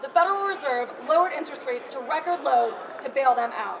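With lively intonation, a woman talks at a fairly quick pace over noticeable background noise. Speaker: activist speaker. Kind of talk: protest speech. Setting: bank lobby protest. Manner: forceful, rallying, formal. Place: hall. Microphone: camera far.

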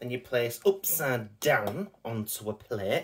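A man speaks with lively intonation. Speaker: food reviewer. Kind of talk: casual vlog chat. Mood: jokey, light-hearted. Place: kitchen. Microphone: phone near.

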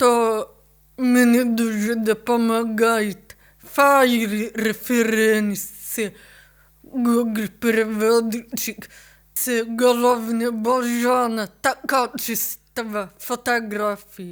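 A woman at a fairly high pitch, very slow pace, with monotone, flat intonation. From Ukraine, Kyiv. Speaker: photographer. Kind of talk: interview.

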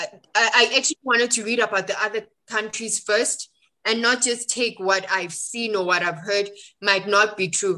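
Bright and sharp in tone, a woman with a South African accent talks at a fairly high pitch, with fairly even intonation and a moderate pace. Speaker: book club co-founder. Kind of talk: casual chat.

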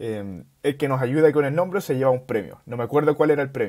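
A man speaks with a fairly high pitch and ordinary pitch variation over a quiet background. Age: 20s. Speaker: startup founder; guest. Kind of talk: casual interview. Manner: halting. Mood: relaxed, friendly. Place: home room. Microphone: earbuds.

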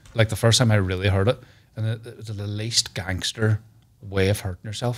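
Delivered at a very fast pace, this man's fairly low voice stays monotone and flat. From Northern Ireland. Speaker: comedian. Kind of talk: casual chat. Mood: jokey, storytelling. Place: studio. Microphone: studio mic.

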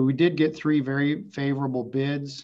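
The man's intonation stays fairly even as he talks at a moderate speed. Nothing else can be heard behind him. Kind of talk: staff report to board. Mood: calm, businesslike. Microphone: video call.

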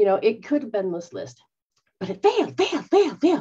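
Against a quiet background, a woman's dark, mellow voice carries vocal fry. Her pitch swings very widely. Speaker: spiritual teacher. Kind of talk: casual teaching talk. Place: home room. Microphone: webcam.

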